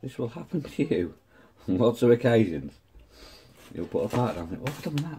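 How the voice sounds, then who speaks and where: A man talks at a fairly quick pace in a medium pitch with vocal fry and a dark, mellow tone, taking long, frequent pauses. His loudness swings a lot and his pitch swings very widely, with light background noise. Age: 50s. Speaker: model-building YouTuber. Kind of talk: hobby tutorial. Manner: casual, chatty. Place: home room. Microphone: phone near.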